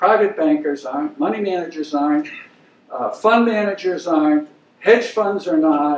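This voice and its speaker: With an American accent, a man talks at a moderate pace in a high pitch, his voice making very wide pitch swings. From Maine, US. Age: 70s. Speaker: investment banker, guest lecturer. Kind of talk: lecture.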